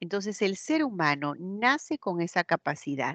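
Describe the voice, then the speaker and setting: A woman with an Andean accent is recorded with a dry, close sound, no echo, and a quiet background. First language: Quechua (speaking Spanish). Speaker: teacher. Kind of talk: lecture. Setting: online class, camera off.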